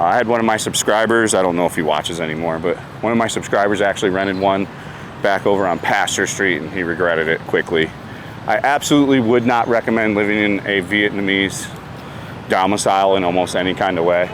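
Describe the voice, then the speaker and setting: A man with a fairly low voice talks at a very fast pace over noticeable background noise. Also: ordinary pitch variation. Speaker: vlogger / expat apartment guide. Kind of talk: casual vlog. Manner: fast talker; many fillers (uh, so).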